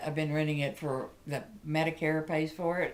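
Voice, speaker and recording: At a moderate pace, a woman talks in a very deep, low pitch with monotone, flat intonation. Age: 60s. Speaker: Social Security recipient. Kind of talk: testimony. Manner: earnest, somewhat halting.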